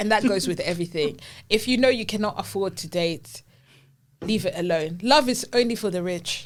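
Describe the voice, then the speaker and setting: An animated tone with a Zimbabwean accent, a moderate pace and ordinary pitch variation. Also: woman, medium pitch for a woman. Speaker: podcast co-host. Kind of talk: casual chat.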